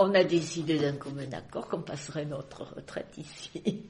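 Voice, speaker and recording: Over noticeable background noise, a woman with a very deep, low pitch talks at a fairly slow pace with lively intonation. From Marseille, France. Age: 80s+. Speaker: retiree. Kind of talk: interview answer.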